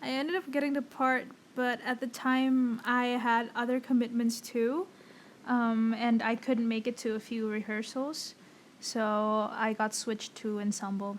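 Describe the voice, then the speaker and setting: Her delivery is fairly slow, with fairly even intonation. This woman's voice sits at a fairly high pitch. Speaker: actor and podcast host. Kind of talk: casual chat.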